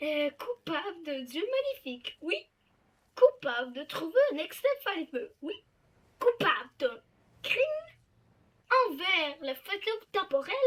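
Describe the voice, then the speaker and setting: A cartoonish character voice pitched extremely high swings very widely in pitch. It moves at a fairly slow pace with long, frequent pauses. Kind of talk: fan dub of cartoon scenes.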